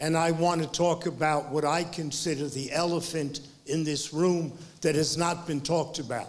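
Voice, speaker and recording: A man with an American accent speaks in a fairly high, monotone, flat voice at a moderate pace. Noticeable background noise runs behind him. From New York. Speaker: academic, former deputy director of graduate institute. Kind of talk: panel discussion remarks. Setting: press club event with audience.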